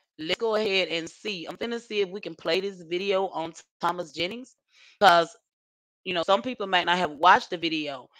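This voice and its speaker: A woman's fairly low-pitched voice in a Southern US accent, with ordinary pitch variation and long, frequent pauses, on a very clean recording with a silent background. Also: moderate pace. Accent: Southern US country. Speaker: YouTube livestream host. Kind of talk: casual livestream chat. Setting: home livestream. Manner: rambling, chatty.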